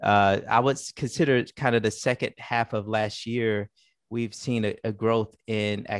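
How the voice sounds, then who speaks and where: A man at a fairly slow pace, dry sound with no echo, quiet background. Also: fairly even intonation. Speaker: guest. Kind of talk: interview answer. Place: home room. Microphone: headset.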